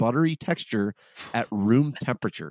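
An ordinary speaking voice from a man at a medium pitch, lively in intonation, in a very clean, dry, close recording with no echo and a silent background. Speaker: podcast host. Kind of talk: casual chat.

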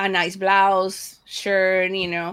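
A woman speaks with a Spanish accent at a medium pitch. Her pace is fairly slow. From Panama. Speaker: media and broadcasting professional. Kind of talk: interview. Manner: blunt, harsh-sounding.

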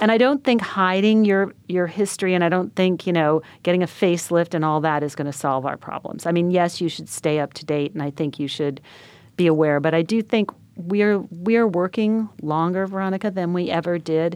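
A woman with a normal speaking voice and an American accent talks at a fairly quick pace against a quiet background. Her pitch is fairly low, with ordinary variation. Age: 60s. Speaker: magazine editor and entrepreneur. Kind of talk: interview.

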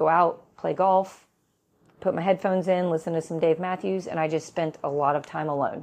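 A woman speaks in an unremarkable speaking voice, fairly low in pitch, at a moderate pace with fairly even intonation. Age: 40s. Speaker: podcast host and gym owner. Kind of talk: solo podcast talk.

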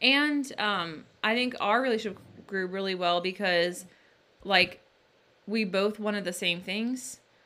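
Using an unremarkable speaking voice, a woman of medium pitch talks at a fairly slow pace with ordinary pitch variation. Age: 20s. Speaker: podcast co-host and author. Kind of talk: casual chat.

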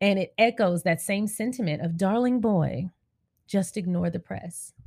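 Recorded very cleanly against a silent background, a woman talks in a somewhat breathy voice with lively intonation. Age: 30s. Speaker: podcast host and YouTuber. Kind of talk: casual monologue.

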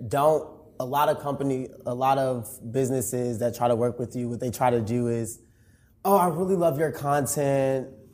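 Here a man speaks at a moderate pace and medium pitch. It is a plain, everyday voice. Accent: American. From Chicago, Illinois. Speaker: content creator and corporate employee. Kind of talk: interview.

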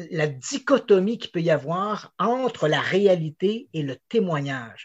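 The voice moves in very wide pitch swings. The background is quiet. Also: man. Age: 50s. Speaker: investigative journalist. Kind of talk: interview.

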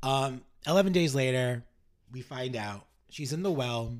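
Speaking in an American accent, a man talks at a fairly slow pace with medium pitch and ordinary pitch variation. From New York City. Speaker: podcast host, playwright and director. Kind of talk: casual chat with storytelling. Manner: halting, many repeated words.

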